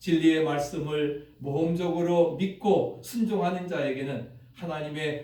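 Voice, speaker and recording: A man talks fairly slowly as noticeable background noise continues. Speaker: pastor. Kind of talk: sermon.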